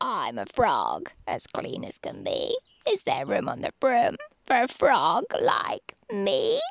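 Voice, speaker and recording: In a put-on character voice, croaky and extremely high in pitch, the speaker goes at a fairly slow pace. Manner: polite, cheerful.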